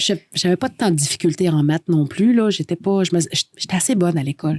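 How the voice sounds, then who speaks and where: A woman's fairly low, dark, mellow voice with a Quebec accent, fairly quick in pace and very even in loudness, in a dry, close sound with no echo. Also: ordinary pitch variation. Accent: Québécois French. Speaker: radio host. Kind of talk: casual chat.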